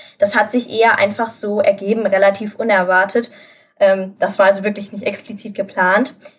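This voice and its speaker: At a moderate pace, a woman speaks in a somewhat breathy voice of medium pitch with monotone, flat intonation. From Germany, Lower Rhine (Krefeld). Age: 20s. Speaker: university student and tutor. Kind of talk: interview.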